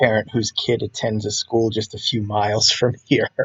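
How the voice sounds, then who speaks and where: Fairly slow speech comes through with a somewhat breathy quality. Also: man. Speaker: comic artist streaming page creation. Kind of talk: casual narration while working.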